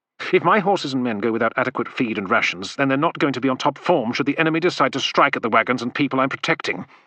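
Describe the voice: Simple, plain reading aloud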